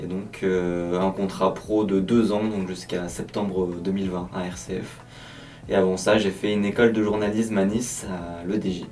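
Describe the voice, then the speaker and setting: With a very deep, low pitch, a man talks at a moderate pace in a flat monotone, with audible room echo around him. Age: 20s. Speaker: trainee radio journalist. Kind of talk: interview.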